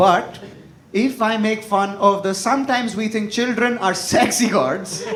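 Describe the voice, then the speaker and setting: Through noticeable background noise, a man talks at a fairly slow pace and high pitch with ordinary pitch variation. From India. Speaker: stand-up comedian. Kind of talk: stand-up comedy set.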